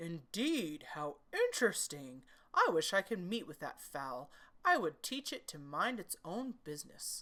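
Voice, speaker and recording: Using a put-on character voice, a woman speaks at a fairly low pitch. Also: moderate pace. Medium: read story. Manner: elaborately polite, ingratiating.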